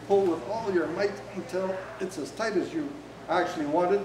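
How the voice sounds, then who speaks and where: A high-pitched man's voice with audible room echo and light background noise. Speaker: workshop instructor. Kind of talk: tutorial demonstration. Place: hall. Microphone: camera far.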